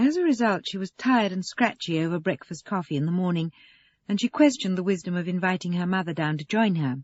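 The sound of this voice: The voice heard here reads in an unforced way.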